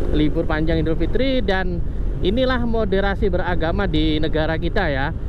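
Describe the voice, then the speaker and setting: A man's voice at a moderate pace, very even in loudness, dry with no echo, over noticeable background noise. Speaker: motovlogger. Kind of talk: riding vlog narration. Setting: riding a motorcycle outdoors. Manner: casual, rambling. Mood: relaxed, easygoing. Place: motorbike.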